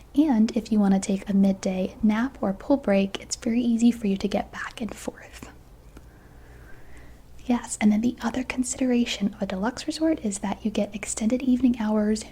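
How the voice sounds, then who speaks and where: A soft-spoken woman with a fairly high pitch, ordinary pitch variation and a moderate pace. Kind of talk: ASMR roleplay, travel agent.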